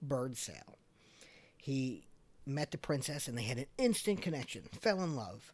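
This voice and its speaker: With a Long Island accent, a man talks at a fairly slow pace with lively intonation. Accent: Long Island New York. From Long Island, New York (Islip, Suffolk County). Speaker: podcast host. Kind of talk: casual podcast storytelling. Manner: conversational, frequent um and uh fillers.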